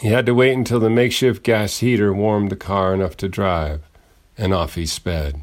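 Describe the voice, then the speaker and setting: A man with an American accent speaks in an ordinary speaking voice, fairly low in pitch, at a moderate pace with ordinary pitch variation, on a very clean recording with a silent background. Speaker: radio host and poet. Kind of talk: dramatic narration, personal essay read aloud. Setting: radio studio. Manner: formal, measured.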